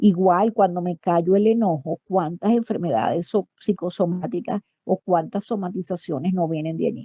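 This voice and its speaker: Speaking at a fairly slow pace, a woman has a dark, mellow tone captured in a dry, close sound with no echo. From Venezuela. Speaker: psychologist. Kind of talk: online talk. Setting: online voice chat on a messaging app.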